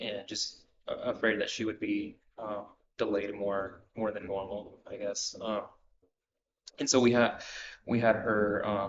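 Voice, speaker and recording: Speaking with a Spanish accent, a man goes at a fairly slow pace with long, frequent pauses. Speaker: counseling client. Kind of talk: counseling session. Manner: halting.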